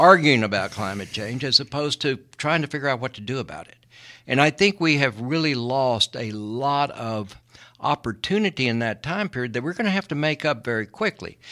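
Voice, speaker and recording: On a very clean recording with a silent background, a man with an American accent and a medium pitch talks at a moderate pace in a bright, sharp tone, with lively intonation and big swings in loudness. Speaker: environmental lawyer. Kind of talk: radio interview. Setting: studio.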